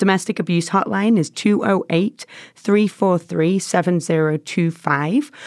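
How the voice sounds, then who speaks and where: A woman with a strong English accent, a fairly low pitch and ordinary pitch variation. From England. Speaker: nonprofit staff, former social worker. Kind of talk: casual interview chat.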